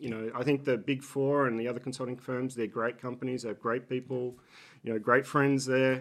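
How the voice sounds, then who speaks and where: With an Australian accent, a man talks at a fairly quick pace in a monotone, flat delivery at medium pitch. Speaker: business executive. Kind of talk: interview. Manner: halting.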